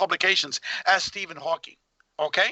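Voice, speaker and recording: An animated man speaks at a fairly quick pace. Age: 60s. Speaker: researcher of UFO experiencers, tax attorney. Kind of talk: heated interview rant.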